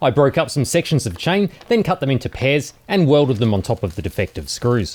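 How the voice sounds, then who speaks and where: With an Australian accent, a man speaks fairly quickly at a fairly high pitch, making very wide pitch swings. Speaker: DIY maker YouTuber. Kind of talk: casual tutorial narration.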